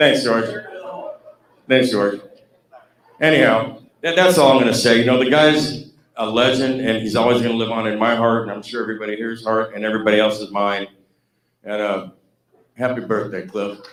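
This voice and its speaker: A man's medium-pitched voice with ordinary pitch variation and long, frequent pauses. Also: fairly quick pace. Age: 60s. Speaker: former band guitarist. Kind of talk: anecdote-telling at fan celebration.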